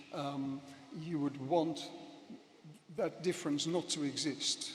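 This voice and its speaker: Over noticeable background noise, a man with a Dutch accent and fairly high pitch speaks at a fairly slow pace. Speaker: professor. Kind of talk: conference speech. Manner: hesitant, many fillers.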